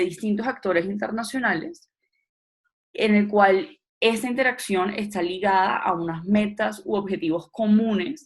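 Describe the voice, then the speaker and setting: This woman's somewhat breathy voice sits at a medium pitch, with ordinary pitch variation and a fairly slow pace. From Colombian Caribbean coast, Barranquilla. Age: 20s. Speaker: political scientist, trainer. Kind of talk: lecture.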